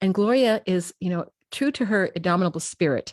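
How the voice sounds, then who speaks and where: A woman talks at a fairly quick pace with ordinary pitch variation, in a plain, everyday voice. The sound is dry and close, with no echo. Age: 60s. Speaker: talk show host. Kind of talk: live interview introduction. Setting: live streamed online show.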